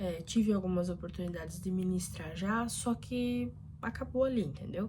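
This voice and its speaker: Moderately paced female speech in audible room echo. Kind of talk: casual vlog talk. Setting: bedroom.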